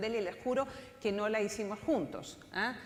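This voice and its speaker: A woman talks at a fairly quick pace with fairly even intonation. Her recording has audible room echo and noticeable background noise. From outside Chile (Spanish-speaking country). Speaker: political scientist, panel speaker. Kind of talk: conference talk.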